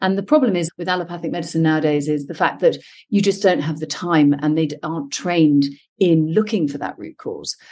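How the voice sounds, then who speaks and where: In a British accent, a woman speaks at a fairly quick pace. Her fairly low voice has a dark, mellow tone and ordinary pitch variation. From UK. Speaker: functional medicine health coach. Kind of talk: interview.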